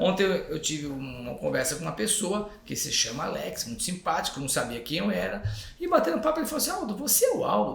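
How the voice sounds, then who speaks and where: A man talks at a fairly quick pace, with noticeable background noise and audible room echo. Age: 60s. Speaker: tourism company executive. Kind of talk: podcast interview.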